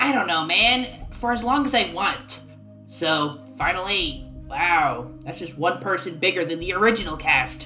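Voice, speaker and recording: A put-on character voice, female-sounding and fairly low-pitched for a woman, at a moderate pace over clear background music. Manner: brash, impatient, cheerful.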